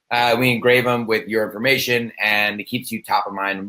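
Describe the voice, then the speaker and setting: At a moderate pace, a man speaks in an energetic, bright, sharp tone at a medium pitch. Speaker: sales professional. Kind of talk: interview.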